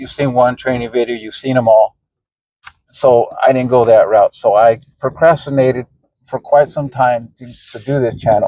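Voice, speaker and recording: The voice has a dark, mellow tone and a flat, monotone intonation. It moves at a moderate pace. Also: man, dry, close sound with no echo. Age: 40s. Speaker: retired vlogger. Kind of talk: casual vlog talk. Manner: halting, with fillers.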